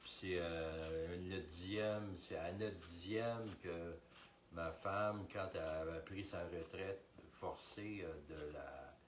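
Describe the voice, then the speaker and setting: A man speaks very slowly in a very deep, low voice with a Quebec accent and fairly even intonation. The recording has audible room echo and noticeable background noise. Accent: Québécois French. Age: 70s. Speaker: retired police officer. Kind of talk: casual chat. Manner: halting.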